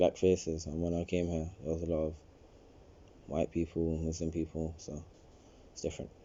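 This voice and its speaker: A man talks at a fairly quick pace with a London accent. His pitch is very deep and low. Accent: London multicultural English. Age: 18. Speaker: interviewee, young immigrant. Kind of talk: interview.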